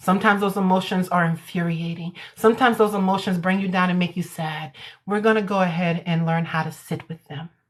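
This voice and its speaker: This woman talks at a very fast pace, her medium-pitched voice somewhat breathy and her intonation fairly even. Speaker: hypnotherapist. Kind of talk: casual chat; guided meditation. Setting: social media livestream. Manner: voice lowers for meditation.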